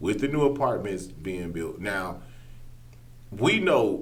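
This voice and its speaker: The speaker has an unremarkable speaking voice at a moderate pace. Intonation is lively. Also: man. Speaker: podcast host. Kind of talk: podcast interview questions.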